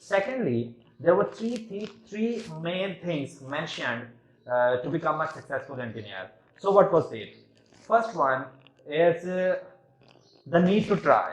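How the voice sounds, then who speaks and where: A man with a Pakistani accent speaks at a high pitch and fairly slow pace, with very wide pitch swings and big swings in loudness. Long, frequent pauses break his speech over noticeable background noise. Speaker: engineering student. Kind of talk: competition speech. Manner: halting.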